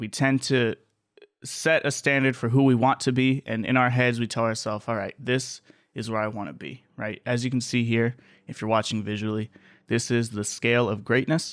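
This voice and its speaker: A man with a plain, everyday voice speaks at a moderate pace in a medium pitch and fairly even intonation on a very clean recording with a silent background. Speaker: podcast host. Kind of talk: solo podcast monologue. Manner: casual, conversational.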